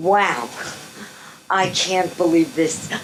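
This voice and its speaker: A woman with an American accent talks at a very slow pace over noticeable background noise. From New York. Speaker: guest speaker, retired park guide. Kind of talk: ceremony speech.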